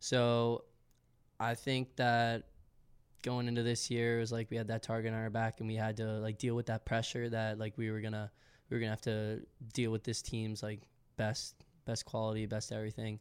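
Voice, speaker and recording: On a very clean recording with a silent background, a man with an American accent speaks at medium pitch and a moderate pace, in a monotone, flat delivery with long, frequent pauses. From Massachusetts, south of Boston. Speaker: college soccer player. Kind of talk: interview.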